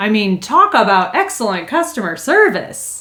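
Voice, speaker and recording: Over noticeable background noise, a woman speaks in an upbeat tone. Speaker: customer service trainer, YouTuber. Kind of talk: casual tutorial. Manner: tends to talk fast when excited; friendly, upbeat.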